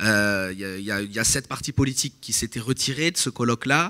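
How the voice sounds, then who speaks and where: A bright, sharp tone at a fairly quick pace, with ordinary pitch variation, in a very clean recording with a silent background. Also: man. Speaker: political analyst. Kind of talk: conference talk. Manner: halting.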